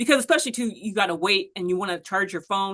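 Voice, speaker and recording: A woman with an American accent talks at a very fast pace in an animated, bright, sharp tone with lively intonation, against a quiet background. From Los Angeles, US West Coast. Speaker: podcast host. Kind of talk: interview, casual chat. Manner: halting, many fillers and restarts.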